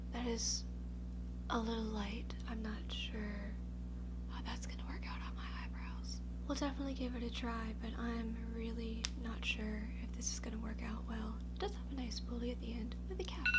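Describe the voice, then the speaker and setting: A soft-spoken woman with an American accent speaks at a moderate pace in a very deep, low pitch. Her intonation is monotone and flat, with noticeable background noise behind her. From Louisiana, USA. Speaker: beauty YouTuber. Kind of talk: ASMR get-ready-with-me makeup unboxing. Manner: quiet, mellow, low-key, softly spoken; self-deprecating, humorous.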